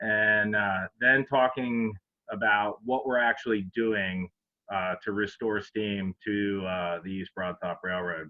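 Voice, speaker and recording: Very slow speech in a central Pennsylvania accent, with fairly even intonation. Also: man, fairly low pitch for a man. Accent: central Pennsylvania American. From Pennsylvania, Harrisburg. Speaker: railroad chief mechanical officer. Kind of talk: presentation. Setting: virtual event. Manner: hesitant, many fillers.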